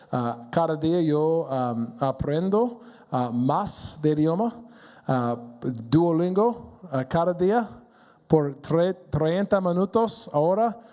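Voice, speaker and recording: At a very slow pace, a man with an English accent speaks in a dark, mellow tone, with a fairly high pitch and lively intonation. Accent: non-native Spanish, English speaker. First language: English (speaking Spanish). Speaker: pastor. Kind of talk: sermon. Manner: halting, many fillers.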